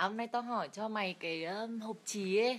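With a Hanoi accent, a woman talks in a relaxed tone. Her pitch is fairly high, with ordinary pitch variation. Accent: northern Vietnamese (Hanoi). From northern Vietnam, Hanoi; Vietnam. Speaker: live streamer. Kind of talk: casual live stream chat. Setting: lying down during live stream. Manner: relaxed, chatty. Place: home room. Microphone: phone near.

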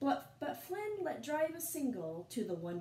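Unforced reading voice, nothing more.

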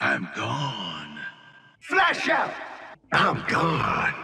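Doing a put-on character voice at a very slow pace, a man speaks at a medium pitch in a bright, sharp tone with vocal fry and very wide pitch swings.

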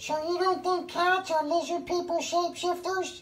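Putting on a cartoonish character voice, a woman speaks in an extremely high pitch at a moderate pace with monotone, flat intonation. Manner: conspiratorial, indignant.

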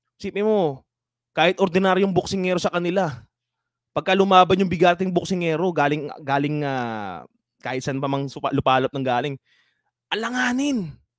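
A man with a high pitch talks at a moderate pace, his intonation lively. The recording is very clean with a silent background, and the sound is dry and close with no echo. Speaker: boxing podcast host. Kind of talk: live stream chat.

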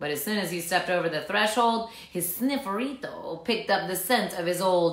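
A natural voice, reading aloud

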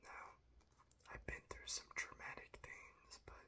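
A man is whispering, keeping to a fairly slow pace. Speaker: ASMR creator. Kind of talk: ASMR whisper talk to camera. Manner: whispered; calm, soft-spoken. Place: home room.

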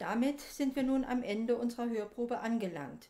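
A woman's fairly high, dark and mellow voice at a moderate pace, with ordinary pitch variation.

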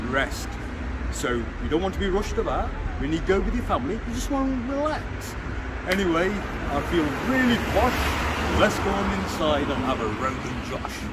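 A man keeps to a moderate pace despite loud background noise. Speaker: presenter. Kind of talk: casual promotional presenting. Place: street. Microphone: phone near.

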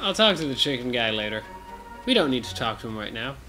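Music plays in the background. A man talks with lively intonation. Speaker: gaming video co-host, playing the game. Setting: recording at home with a microphone, playing a video game. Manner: loud.

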